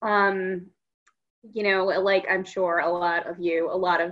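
At a fairly slow pace, a woman with an American accent speaks in an ordinary speaking voice of medium pitch. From US Midwest, Minneapolis-St. Paul. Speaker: fiction author. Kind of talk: casual interview chat.

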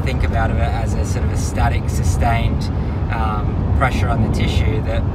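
Loud background noise fills the recording as a man speaks at a moderate pace. There is no echo, and the sound is dry. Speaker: manual therapy educator. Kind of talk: casual professional discussion. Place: car. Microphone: phone near.

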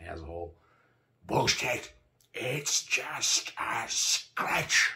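Putting on a character voice, a man speaks very slowly at a medium pitch in a bright, sharp tone with big pitch swings.

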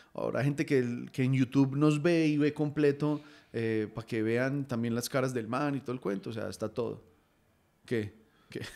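A man talks at a moderate pace in a dark, mellow tone. His pitch is medium, with ordinary variation. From Colombia. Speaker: football podcast host. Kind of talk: casual football chat. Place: home room. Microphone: studio mic.

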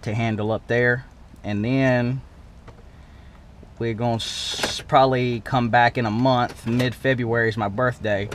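Here a man speaks at a medium pitch in a fairly bright tone with fairly even intonation.

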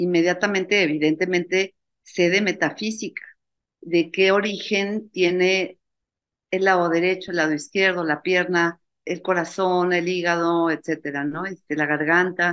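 Against a quiet background, a woman speaks at a fairly slow pace with monotone, flat intonation. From Mexico, Mexico City; Mexico. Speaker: university founder, spirituality event organizer; interview guest. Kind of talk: interview. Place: home room. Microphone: webcam.

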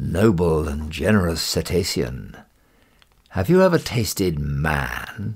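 A man uses a put-on character voice at a very deep, low pitch. His pace is fairly slow. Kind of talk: ornate, formal address. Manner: flattering, ingratiating.

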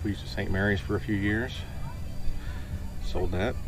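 Clear music plays in the background, and the sound is dry with no echo. A man speaks at a fairly low pitch. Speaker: interviewee. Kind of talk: interview answer. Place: boat. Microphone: camera far.

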